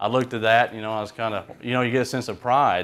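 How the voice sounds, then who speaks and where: A man speaks with an Alabama accent at a fairly quick pace. His intonation is monotone and flat, in a very clean recording with a silent background. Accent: Alabama, Southern US. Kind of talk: talk to a group. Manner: casual, hesitant.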